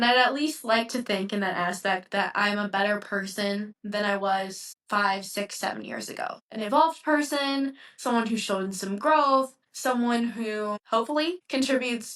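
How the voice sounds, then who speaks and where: A woman with a US Midwestern accent speaks at a moderate pace with a fairly high pitch and ordinary pitch variation. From Ohio, US Midwest. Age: 20s. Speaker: podcaster. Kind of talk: reflective solo talk. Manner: casual, with fillers.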